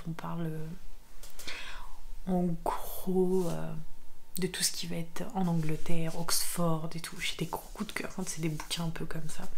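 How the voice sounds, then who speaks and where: A soft-spoken woman, calm in tone, fairly low-pitched, at a fairly slow pace with monotone, flat intonation. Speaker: ASMR creator and book reviewer. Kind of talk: casual talk to camera, book review. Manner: soft-spoken, calm.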